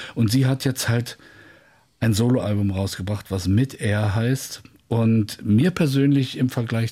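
Somewhat breathy and dark, mellow in tone, a man with a medium pitch talks at a very slow pace with ordinary pitch variation. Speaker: music presenter. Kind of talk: casual chat. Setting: studio. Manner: more lively since retirement.

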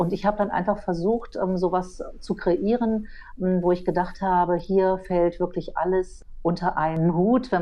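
A woman with a fairly low voice at a very slow pace. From Berlin, Germany. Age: 50s. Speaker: photographer and online editor. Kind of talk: casual discussion. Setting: remote line.

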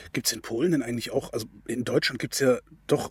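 Somewhat breathy, a man speaks with ordinary pitch variation. The recording is very clean, with a silent background. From Germany. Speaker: radio host. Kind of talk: interview.

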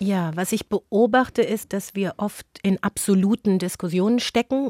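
A dark, mellow voice moves at a moderate pace with fairly even intonation. The recording is very clean, dry and close, with no echo and a silent background. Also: woman. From Germany, Frankfurt am Main. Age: 40s. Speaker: author and journalist. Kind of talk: interview.

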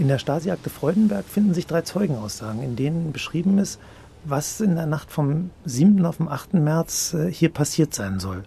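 A man with a dark, mellow tone and a fairly high pitch speaks with lively intonation. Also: moderate pace. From West Berlin. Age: 50s. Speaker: management consultant, eyewitness in radio drama. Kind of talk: documentary narration. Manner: passionate, gripping storytelling.

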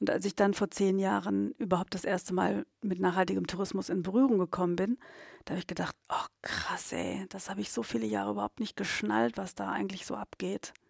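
A woman talks at a fairly quick pace. Her voice sounds dry and close, without any echo. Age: 50s. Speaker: tourism consultant. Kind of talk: coaching session.

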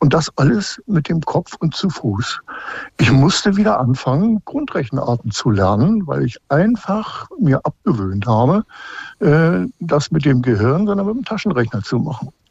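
The recording is dry and close, with no echo. A man speaks slowly at a fairly high pitch, his voice making very wide pitch swings. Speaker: caller, retired instructor. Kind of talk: radio call-in conversation. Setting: phone call from home. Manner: halting, many fillers.

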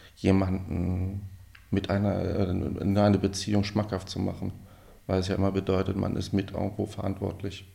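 A man speaks at a very deep, low pitch in a dark, mellow tone. His delivery is monotone and flat, at a moderate pace. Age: 40s. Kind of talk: interview.

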